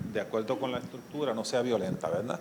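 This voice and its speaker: A man speaks with a Puerto Rican accent. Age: 70s. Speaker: criminologist and social worker. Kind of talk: conference lecture.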